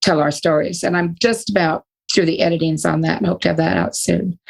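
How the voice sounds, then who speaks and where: A woman with an American accent speaks in a fairly low pitch with vocal fry, recorded with a dry, close sound and no echo. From Northern California. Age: 60s. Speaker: retired psychologist and author. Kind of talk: interview.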